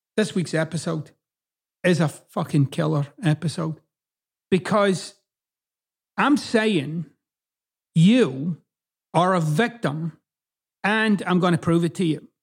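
Speaking at a very slow pace with long, frequent pauses, a man uses a high pitch and lively intonation in a very clean recording with a silent background. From Scotland. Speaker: podcast host. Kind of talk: solo monologue, self-help talk. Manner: profane, direct.

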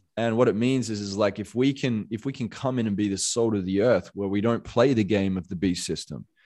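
A man with an Australian accent, fairly low in pitch with ordinary variation, at a moderate pace over a quiet background. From Western Australia, Perth. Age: 30s. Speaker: motivational coach. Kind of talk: podcast interview.

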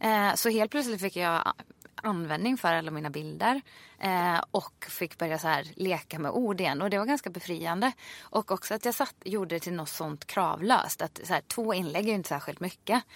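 A woman with an unremarkable speaking voice at a medium pitch and moderate pace, lively intonation, on a very clean recording with a silent background and a dry, close sound with no echo. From Sweden, Ulricehamn. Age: 30s. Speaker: fitness instructor. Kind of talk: casual interview chat.

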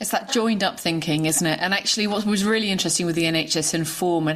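Over noticeable background noise, a woman with a fairly low pitch talks very fast. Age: 40s. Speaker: yoga teacher and podcast host. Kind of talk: interview.

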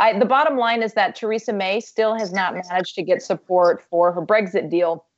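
A woman talks in an unremarkable speaking voice. Her pitch varies in an ordinary way. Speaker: policy expert. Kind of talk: panel discussion.

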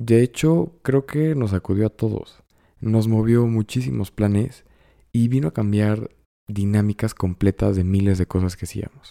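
A man's fairly low, dark, mellow voice at a fairly slow pace, with ordinary pitch variation and a dry, close sound with no echo on a very clean recording over a silent background. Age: 20s. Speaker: podcast host. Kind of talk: solo monologue podcast.

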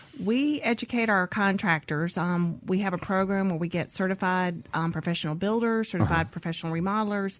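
A woman with a Southern US accent, medium in pitch, at a fairly quick pace with hardly any pauses and ordinary pitch variation. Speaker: builders association staffer. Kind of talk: radio interview. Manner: hesitant, many fillers.

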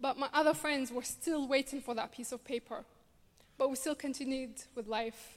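Animated and fairly quick, a woman talks at a high pitch in a Glasgow accent. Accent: Scottish (Glasgow). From Glasgow, Scotland. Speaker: refugee rights speaker. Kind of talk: personal testimony talk.

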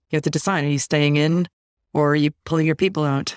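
In a very clean recording with a silent background and a dry, close sound with no echo, a woman with an American accent speaks very fast in a monotone, flat delivery at a very deep, low pitch. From Chicago suburbs, US. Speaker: author and researcher. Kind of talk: interview conversation.

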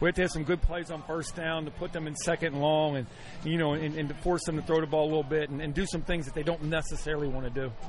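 A man with a fairly high voice talks very fast in a flat monotone. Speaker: football head coach. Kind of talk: sideline interview. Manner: halting, repeats words.

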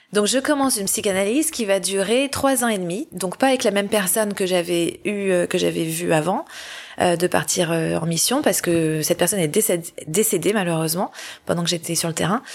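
A woman with a normal speaking voice, medium in pitch, at a moderate pace with lively intonation. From Paris, France. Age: 40s. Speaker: humanitarian worker. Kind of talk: testimony. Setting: at the host's home.

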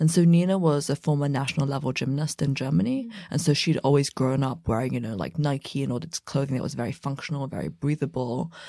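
A woman's very deep, low voice with a dark, mellow tone and a southern English accent, very fast with hardly any pauses, ordinary pitch variation, and a very clean recording over a silent background. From England, about an hour west of London. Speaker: fashion brand co-founder. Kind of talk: interview. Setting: recording booth in New York City studio.

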